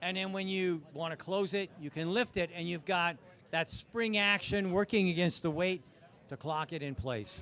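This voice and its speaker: A man's loud, high voice in a bright, sharp tone, at a moderate pace with ordinary pitch variation. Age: 70s. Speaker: automotive reviewer at a live event. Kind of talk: live event walkaround. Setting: outdoor event with crowd and PA speakers. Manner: casual.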